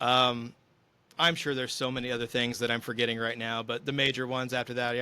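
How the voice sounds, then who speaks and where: A man speaks at a fairly quick pace with a medium pitch. His tone is bright and sharp. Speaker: podcast host and musician. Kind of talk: casual chat. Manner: fast.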